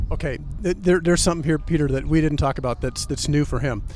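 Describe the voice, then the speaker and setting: This man has an ordinary speaking voice, fairly high in pitch with ordinary variation. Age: 60s. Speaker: political commentator guest. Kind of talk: interview. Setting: outdoors in front of the corn palace.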